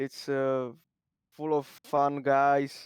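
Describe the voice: The tone is clear and smooth, with monotone, flat intonation. The pace is very slow. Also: man, medium pitch for a man, dry, close sound with no echo.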